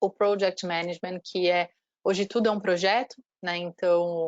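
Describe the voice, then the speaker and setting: A woman's medium-pitched voice stays monotone and flat at a moderate pace, in a dry, close sound with no echo. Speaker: university marketing representative. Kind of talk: online presentation.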